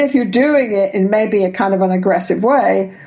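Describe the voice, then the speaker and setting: A woman's voice, pitched in the middle range, carries audible echo from the room. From England. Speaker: couples therapist and researcher. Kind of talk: interview.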